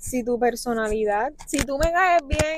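The speech moves at a very slow pace with ordinary pitch variation. There is noticeable background noise. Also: woman. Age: 20s. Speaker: podcast guest. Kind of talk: casual chat.

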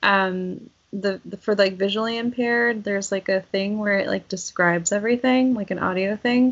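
Using an ordinary speaking voice, a woman talks at a moderate pace with a medium pitch and ordinary pitch variation. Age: 30s. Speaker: podcast co-host. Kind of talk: casual chat.

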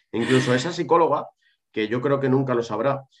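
Speaking at a fairly quick pace, this is a normal speaking voice with ordinary pitch variation. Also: man. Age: 30s. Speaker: psychologist specializing in ADHD. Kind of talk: interview.

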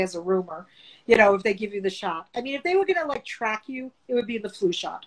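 A woman with a fairly high pitch talks at a moderate pace in an ordinary speaking voice. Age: 50s. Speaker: vintage and antique dealer. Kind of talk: casual chat.

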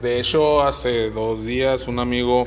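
Fairly slow speech from a man at medium pitch, with audible echo in the room. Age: 20s. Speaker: podcaster. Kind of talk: casual monologue. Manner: halting.

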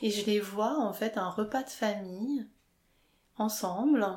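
A woman with a fairly high voice speaks very slowly, her pitch varying in an ordinary way. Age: 30s. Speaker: interviewee sharing coming-out story. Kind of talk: personal testimony interview. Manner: hesitant, many fillers.

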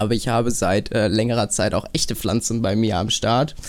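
A normal speaking voice, moderately paced, with ordinary pitch variation. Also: man. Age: young. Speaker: podcast host, media design apprentice. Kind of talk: casual chat. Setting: video call.

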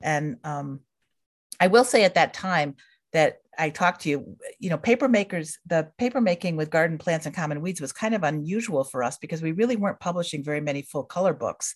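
With an ordinary speaking voice and an American accent, a woman talks at a fairly quick pace with lively intonation and a fairly low pitch against a quiet background. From central New York state. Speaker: book publisher and editor. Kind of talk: casual interview.

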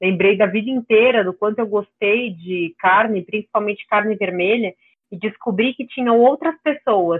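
Speaking at a moderate pace, a woman has an unremarkable speaking voice, fairly high in pitch with ordinary pitch variation. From São Paulo, Brazil. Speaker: nutrition student and carnivore diet advocate. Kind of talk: interview conversation.

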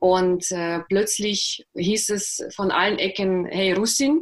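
A woman speaks at medium pitch. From Russia (Karelia), moved to Germany at 11. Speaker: author and journalist. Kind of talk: interview, personal life story. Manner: hesitant, many fillers.

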